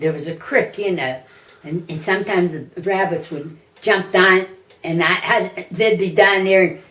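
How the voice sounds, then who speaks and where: Speaking with an American accent, a woman talks at a fairly slow pace with ordinary pitch variation. Noticeable background noise sits behind her. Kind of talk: interview answer. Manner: casual, conversational.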